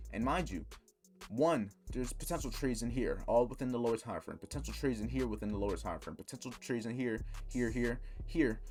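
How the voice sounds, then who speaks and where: Music can be heard behind the speech. The man talks very fast. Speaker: trading educator. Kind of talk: tutorial.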